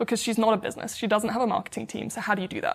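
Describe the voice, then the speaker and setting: A woman's fairly high voice with a British accent, on a very clean recording against a silent background. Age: 20s. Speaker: startup founder, former pro tennis player. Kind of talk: interview. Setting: in person, New York.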